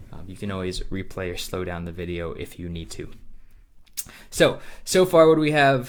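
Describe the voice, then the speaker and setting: A man speaks with a very deep, low pitch, very wide pitch swings and big swings in loudness. Long, frequent pauses break up his speech, and room echo is audible. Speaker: math teacher. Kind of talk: lecture. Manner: fast; many filler words (um, uh).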